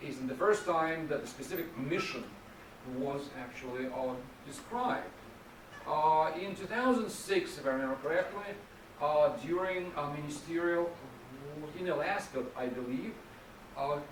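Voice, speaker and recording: A man with a fairly high voice speaks at a moderate pace with lively intonation and long, frequent pauses, over noticeable background noise and audible room echo. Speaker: policy researcher. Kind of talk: lecture. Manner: halting.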